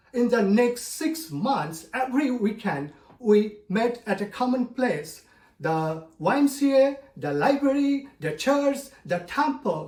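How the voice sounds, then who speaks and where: A man at an extremely high pitch with very wide pitch swings, at a very slow pace, over noticeable background noise. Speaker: storyteller, club speaker. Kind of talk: personal story speech.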